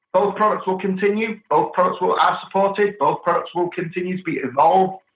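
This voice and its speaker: In a British accent, a man talks at a fairly quick pace with a high pitch. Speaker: technology executive. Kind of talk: podcast interview. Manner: halting.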